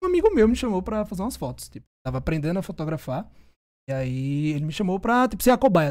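A man talks at a very fast pace and a high pitch. His voice swings very widely in pitch and shows big swings in loudness. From Brazil, Northeast. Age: 20s. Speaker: food photographer. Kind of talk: casual chat.

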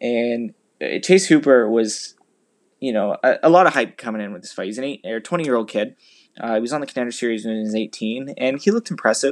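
Very fast and medium in pitch, a man's voice shows ordinary pitch variation and big swings in loudness on a very clean recording with a silent background. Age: 20s. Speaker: podcast host and amateur MMA fighter. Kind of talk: solo commentary podcast.

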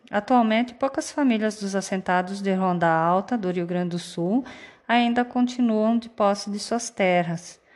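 In an ordinary speaking voice, a woman talks at a fairly slow pace with medium pitch and ordinary pitch variation, in a very clean recording with a silent background. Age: 40s. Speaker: teacher. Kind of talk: scripted narration.

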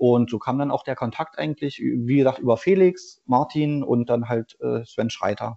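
A man talks in an unremarkable speaking voice, moderately paced and medium in pitch, with ordinary pitch variation. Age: 30s. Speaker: former pro footballer, amateur player. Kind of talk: interview.

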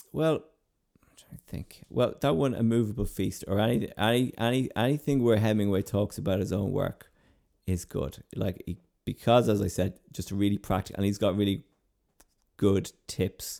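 A man with a western Irish accent, fairly low in pitch, with a dark, mellow tone, ordinary pitch variation and a moderate pace. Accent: Irish (west of Ireland). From Ireland, East Galway. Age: 30s. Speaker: playwright. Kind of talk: interview. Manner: halting, many repetitions.

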